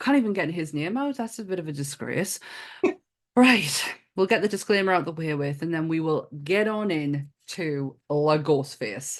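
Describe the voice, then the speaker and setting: With a northern English accent, the speaker talks at a moderate pace using lively intonation. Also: woman, fairly low pitch for a woman. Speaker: podcast host.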